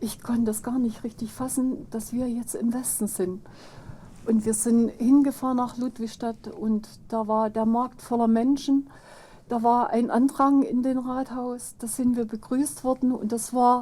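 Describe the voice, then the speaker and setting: Her voice is high in pitch yet dark and mellow in tone, as this woman speaks at a fairly slow pace with fairly even intonation. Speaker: former East German resident. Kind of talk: interview.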